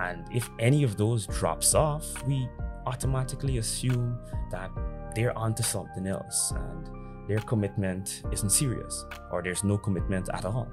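A man speaks at a moderate pace in a fairly low voice, with clear music playing in the background. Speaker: dating commentary creator. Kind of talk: commentary to camera. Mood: serious, reflective. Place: home room. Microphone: studio mic.

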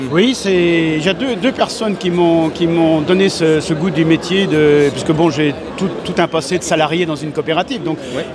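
A man speaks in a high voice at a moderate pace, with hardly any pauses and ordinary pitch variation. The sound is dry with no echo, and there is noticeable background noise. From Vendée, western France. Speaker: rural comedian. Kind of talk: interview answer. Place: hall. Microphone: handheld.

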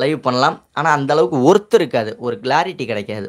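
Over a quiet background, a man talks at a fairly high pitch. His pitch swings very widely. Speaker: YouTube tips channel host. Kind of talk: live stream Q&A. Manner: casual, colloquial. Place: home room. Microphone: lapel.

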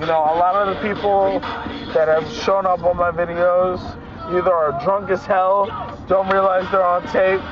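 Over clear background music, a man speaks in a monotone, flat delivery with a dry sound and no echo. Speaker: vlogger passenger. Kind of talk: casual vlog chat. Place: car. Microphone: phone near.

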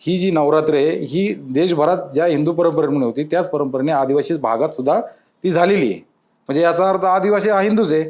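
Using a normal speaking voice, a man with a fairly high pitch keeps his loudness very even and his pitch variation ordinary. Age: 40s. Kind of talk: interview.

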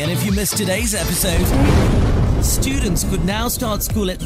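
Loud music plays in the background of a dry sound with no echo. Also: man. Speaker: radio presenter. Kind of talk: radio news bulletin read. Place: studio. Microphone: studio mic.

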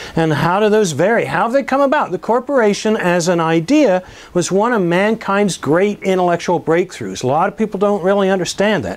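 A man's high-pitched voice at a fairly quick pace, lively intonation and hardly any pauses. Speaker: business educator and entrepreneur; course instructor. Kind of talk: course promotion talk to camera. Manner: casual, with frequent fillers. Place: classroom. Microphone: lapel.

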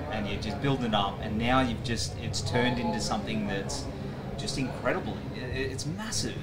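Noticeable background noise surrounds a man talking at a moderate pace. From Australia. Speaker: podcast host. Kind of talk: interview. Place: tent. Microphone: handheld.

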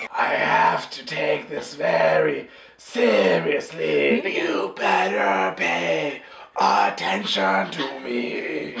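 A man's raspy, put-on character voice at a very slow pace, with a slight echo and light background noise. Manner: intense, serious.

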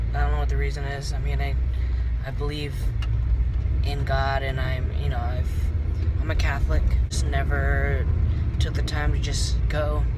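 A man talks at a moderate pace with long, frequent pauses. Loud background noise runs behind him. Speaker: vlogger. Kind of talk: casual vlog chat. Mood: relaxed, reflective. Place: car. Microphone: phone near.

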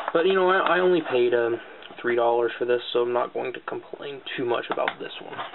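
A man talks at a medium pitch over noticeable background noise. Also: ordinary pitch variation. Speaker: gaming YouTuber. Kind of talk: casual video haul showcase. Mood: relaxed, mildly pleased. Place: home room. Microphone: webcam.

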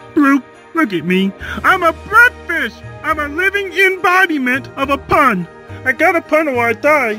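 A cartoonish character voice at a moderate pace, with clear music in the background. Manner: excitable, earnest.

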